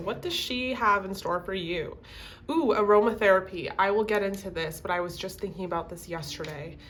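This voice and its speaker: A woman's normal speaking voice, medium in pitch, with ordinary pitch variation at a moderate pace. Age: 20s. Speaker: tarot reader. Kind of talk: casual talk to camera.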